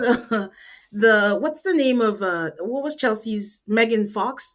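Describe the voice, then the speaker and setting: In a very clean recording with a silent background, a woman with a Nigerian accent speaks very slowly at a fairly high pitch. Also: ordinary pitch variation. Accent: Nigerian accent, noticeable. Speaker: podcast host. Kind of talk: casual chat. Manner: animated.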